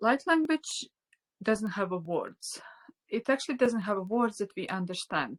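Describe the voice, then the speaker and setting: In a Latvian accent, a woman speaks at a medium pitch with a dry, close sound with no echo. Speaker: spiritual teacher. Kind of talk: online class. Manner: halting.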